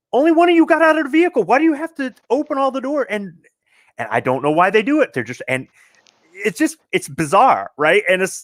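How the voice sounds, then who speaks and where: Recorded dry and close with no echo, a man talks at a fairly quick pace in an extremely high pitch, his voice making very wide pitch swings. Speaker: gun enthusiast. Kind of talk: casual chat. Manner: loud.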